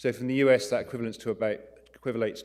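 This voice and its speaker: A man speaks in an English accent. His intonation is fairly even. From England, London. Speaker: neurointerventional radiologist. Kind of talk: conference lecture. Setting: conference talk.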